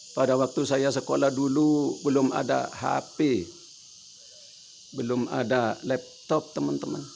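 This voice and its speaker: A man's medium-pitched voice at a fairly slow pace, over noticeable background noise. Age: 70s. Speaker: elderly vlogger. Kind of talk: casual monologue. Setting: at home.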